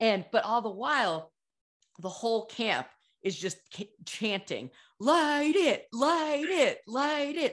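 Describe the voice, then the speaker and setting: Against a quiet background, a woman speaks very slowly in a high pitch with very wide pitch swings. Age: 40s. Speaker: podcast host. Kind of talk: casual chat.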